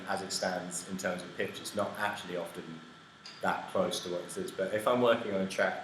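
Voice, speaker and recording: A man talks at a moderate pace with ordinary pitch variation. Room echo is audible, and there is noticeable background noise. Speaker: music tech team member demoing software. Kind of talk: live stream Q&A. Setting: live stream in a hot room in London.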